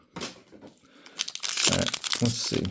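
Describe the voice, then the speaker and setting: A man speaks very slowly while clearly audible noise carries on behind him. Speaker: sports card collector opening packs. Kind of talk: casual pack-opening commentary.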